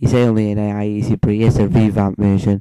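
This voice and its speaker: At a moderate pace, a man speaks with a fairly low pitch and a dark, mellow tone in a dry, close sound with no echo. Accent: British. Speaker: gaming YouTuber. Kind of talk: gameplay commentary. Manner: volume goes loud and quiet; talking louder than last time. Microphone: moves close to and away from mic.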